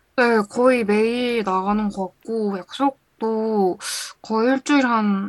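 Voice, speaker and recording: A woman's fairly high voice in a dry, close sound with no echo. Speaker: listener guest, university student. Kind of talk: casual chat. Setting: remote call. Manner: animated.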